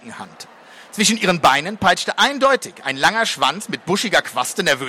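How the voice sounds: The clip presents a natural reading voice.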